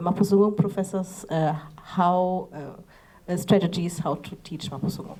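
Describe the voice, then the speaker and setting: With a German accent, a woman speaks fairly slowly at a fairly low pitch, her dark, mellow tone carried by fairly even intonation. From Germany. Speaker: language teacher. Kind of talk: panel discussion. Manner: halting.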